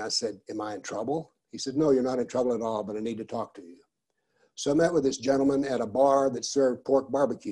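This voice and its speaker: A man with an American accent speaks at a very fast pace in a medium pitch. His tone is dark and mellow, with ordinary pitch variation. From United States. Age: 70s. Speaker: professor and author on political Islam. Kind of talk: lecture.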